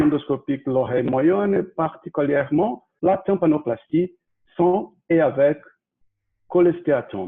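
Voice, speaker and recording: A man with a Brazilian accent, fairly high in pitch, at a very slow pace. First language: Portuguese (speaking French). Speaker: ear surgeon. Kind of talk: lecture. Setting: video call. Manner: halting.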